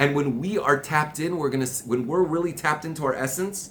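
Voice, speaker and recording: Over noticeable background noise, a man with a fairly high pitch talks at a very fast pace in a passionate tone with ordinary pitch variation. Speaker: Torah teacher. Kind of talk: religious class. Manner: loud, passionate; repetitive, stammering.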